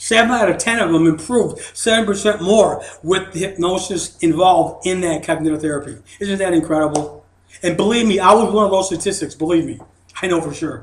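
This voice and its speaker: A man talks at a fairly quick pace in a high-pitched voice. Audible room echo surrounds him. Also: ordinary pitch variation. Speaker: hypnosis seminar presenter. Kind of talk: seminar lecture. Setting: studio.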